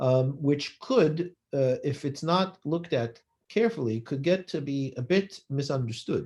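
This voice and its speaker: A somewhat breathy, fairly high-pitched man's voice with an American accent, ordinary pitch variation, and a fairly slow pace. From US West Coast, Los Angeles. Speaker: rabbi. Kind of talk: lecture.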